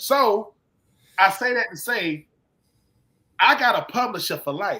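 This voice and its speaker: With an American accent, a man uses an extremely high pitch and a bright, sharp tone in a raised, projected voice. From US South, Georgia (Swainsboro). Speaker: former football player and author. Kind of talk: casual chat. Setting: live stream. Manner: animated.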